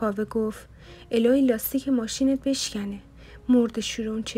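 The intonation stays fairly even in an unforced reading voice.

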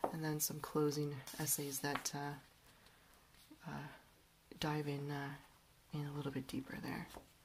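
Over noticeable background noise, a woman with a very deep, low pitch speaks at a fairly slow pace in a relaxed, somewhat breathy tone, with monotone, flat intonation and long, frequent pauses. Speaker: book reviewer. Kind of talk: book review talk to camera. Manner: relaxed, hesitant with fillers.

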